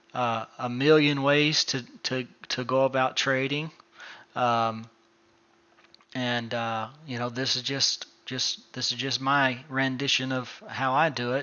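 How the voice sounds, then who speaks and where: Delivery is very slow, from a man with a medium pitch. His intonation is flat and monotone. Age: 30s. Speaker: day trading educator. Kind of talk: casual chat.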